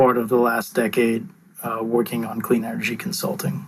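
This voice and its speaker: A man's mid-range voice comes through with a noticeable amount of noise in the background. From Mumbai, India. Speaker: clean energy consultant. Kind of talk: interview. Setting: call. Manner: frequent filler uh.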